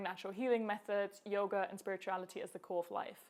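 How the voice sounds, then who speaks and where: The speech comes at a very fast pace in a German accent. Intonation stays fairly even throughout. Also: woman. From Germany. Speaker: health coach. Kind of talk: personal story vlog. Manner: casual, conversational.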